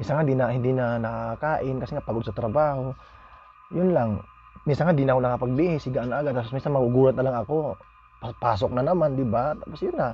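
Speaking at a very fast pace, a man uses a medium pitch and ordinary pitch variation. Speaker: vlogger. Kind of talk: casual vlog monologue. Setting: at home. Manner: halting.

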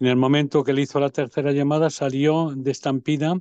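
In a dry recording with no echo and a quiet background, a man with a dark, mellow tone and a fairly high pitch speaks at a moderate pace in a monotone, flat intonation. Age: 70s. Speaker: parish priest. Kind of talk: interview. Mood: earnest, preaching tone. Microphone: video call.

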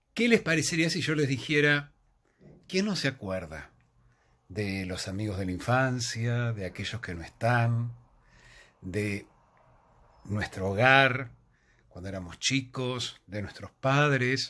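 A man speaks at a very slow pace with long, frequent pauses. His tone is bright and sharp, and his intonation is lively. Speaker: theatre reviewer. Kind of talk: casual vlog chat recommending a play. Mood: warm, reflective. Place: home room. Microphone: phone near.

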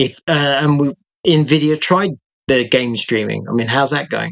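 This man has a British accent and ordinary pitch variation. He speaks at a fairly slow pace against a quiet background. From UK. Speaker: freelance tech journalist. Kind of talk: casual chat. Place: home room.

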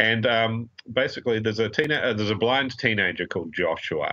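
At a moderate pace, a man speaks with a New Zealand accent. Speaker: crime fiction critic. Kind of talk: casual interview.

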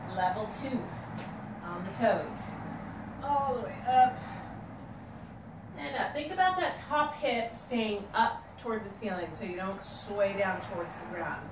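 A woman at a moderate pace with long, frequent pauses and big swings in loudness, amid audible room echo and noticeable background noise. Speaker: fitness instructor. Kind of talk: tutorial. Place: garage. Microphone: camera far.

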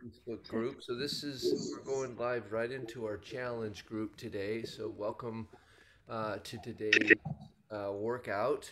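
A man speaks at a very slow pace. Loud background noise runs underneath. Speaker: workout class host. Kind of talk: fitness class introduction. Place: home room. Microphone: video call.

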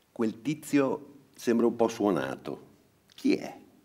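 Speaking at a very slow pace, a man uses very wide pitch swings and vocal fry. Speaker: narrator reading a story aloud. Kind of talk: bedtime story reading aloud. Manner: gentle, storyteller's narration.

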